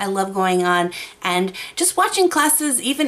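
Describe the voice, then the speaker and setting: A woman at a moderate pace, her pitch swinging very widely. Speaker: YouTube art creator. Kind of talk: tutorial. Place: home room. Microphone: studio mic.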